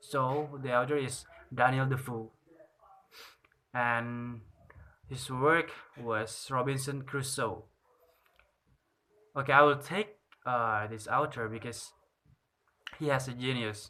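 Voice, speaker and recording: Bright and sharp in tone, a man speaks at a very slow pace with a medium pitch. His intonation is fairly even, broken by long, frequent pauses. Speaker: student. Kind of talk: class presentation review. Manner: halting, with fillers.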